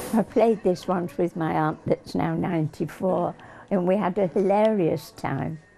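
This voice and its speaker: A woman speaks at a fairly slow pace in a fairly low voice with ordinary pitch variation, over noticeable background noise. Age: 80s+. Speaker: elderly video gamer. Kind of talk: casual interview.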